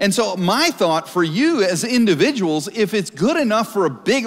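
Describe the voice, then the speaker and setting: A man's high voice with very wide pitch swings, at a moderate pace against a quiet background. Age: 40s. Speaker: pastor. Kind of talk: sermon. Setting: church stage with live audience. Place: church.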